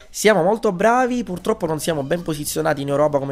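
Very fast speech over noticeable background noise. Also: man. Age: 20s. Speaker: game developer and teacher. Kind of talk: interview. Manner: halting.

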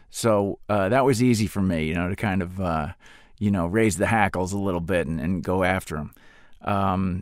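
At a moderate pace and fairly low pitch, a man talks with ordinary pitch variation in an unremarkable speaking voice. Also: very clean recording, silent background. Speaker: actor and former Marine. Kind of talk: interview.

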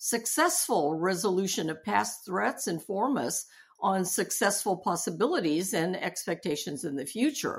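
A woman speaks at a moderate pace and medium pitch. Her intonation is lively. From US, Japanese-American family. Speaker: hospital chaplain and seminary professor. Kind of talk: interview.

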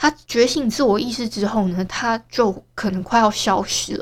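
Somewhat breathy speech in a Taiwanese accent at a moderate pace, ordinary pitch variation, and a very clean recording with a silent background. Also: woman. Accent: Taiwanese Mandarin. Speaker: podcaster. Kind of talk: casual solo diary monologue.

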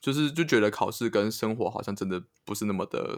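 With an ordinary speaking voice, a man talks at a fairly quick pace in a fairly low pitch, using ordinary pitch variation. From Taiwan. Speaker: podcast co-host. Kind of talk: casual chat.

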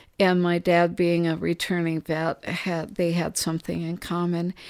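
The pace is fairly slow. The recording is very clean with a silent background. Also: woman. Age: old. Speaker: retired music major, mother of the hosts. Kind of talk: storytelling interview.

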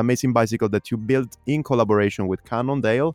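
A man with an Italian accent talks at medium pitch with ordinary pitch variation in a dry, close sound with no echo. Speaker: podcast host. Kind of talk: casual interview chat. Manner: animated.

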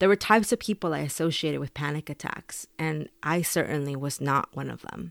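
A woman with a Spanish accent speaks at a moderate pace, with vocal fry and ordinary pitch variation. The recording is very clean, the background silent. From Mexico, then Texas from age 11. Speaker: author and immigrant rights advocate. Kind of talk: reading aloud; interview.

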